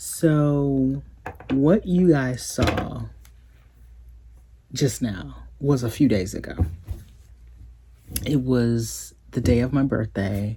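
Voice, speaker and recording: Very slow speech broken by long, frequent pauses. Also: woman, very deep, low pitch for a woman, lively intonation. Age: 40s. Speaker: lifestyle vlogger. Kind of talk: casual vlog talk.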